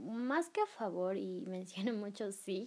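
With an unremarkable speaking voice, a woman talks at a fairly slow pace, her pitch medium and its variation ordinary. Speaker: podcast host. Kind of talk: casual chat.

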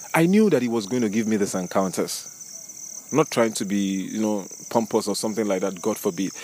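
At a fairly quick pace, a man talks in a normal speaking voice, fairly low in pitch with ordinary pitch variation. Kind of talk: devotional teaching with prayer. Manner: fervent, prayerful.

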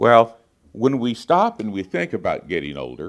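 A man at a medium pitch with vocal fry, at a moderate pace. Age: 60s. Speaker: guest preacher. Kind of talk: sermon.

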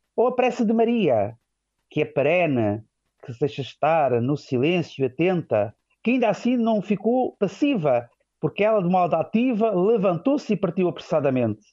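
Very wide pitch swings mark a man's high-pitched voice, delivered at a moderate pace. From Portugal, Vila Franca de Xira near Lisbon. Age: 40s. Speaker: seminarian about to be ordained deacon. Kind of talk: radio interview.

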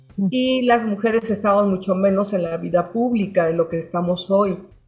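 Over noticeable background noise, a woman talks at a fairly quick pace and medium pitch with fairly even intonation. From Mexico City. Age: 60s. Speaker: storyteller and former journalist. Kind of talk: interview.

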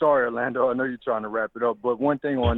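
A man speaks with a Louisiana accent at a medium pitch. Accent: Southern US, Louisiana. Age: 30s. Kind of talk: casual interview.

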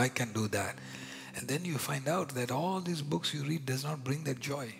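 A passionate tone in an Indian accent comes through noticeable background noise. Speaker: preacher. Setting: church sermon. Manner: passionate, emphatic sermon delivery.

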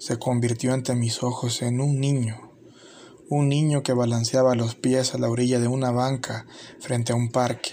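At a fairly slow pace, a man speaks in a medium pitch with monotone, flat intonation. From El Salvador. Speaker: YouTuber. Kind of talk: scripted narration.

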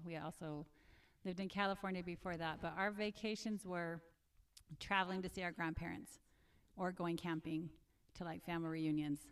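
Recorded very cleanly over a silent background, a woman with a fairly low pitch speaks in an unremarkable speaking voice with fairly even intonation. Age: 50s. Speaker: nurse, mother of four. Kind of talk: casual chat. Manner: laughs often.

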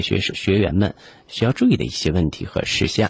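A man speaks at a fairly quick pace in a somewhat breathy voice. The background is quiet. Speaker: radio host. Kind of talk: radio interview. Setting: studio.

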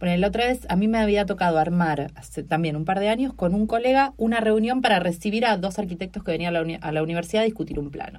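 A woman with an Argentine accent, medium-pitched, talking at a very fast pace with hardly any pauses and ordinary pitch variation. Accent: Rioplatense Argentine Spanish. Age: 40s. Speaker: comedian and university researcher. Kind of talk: casual interview chat.

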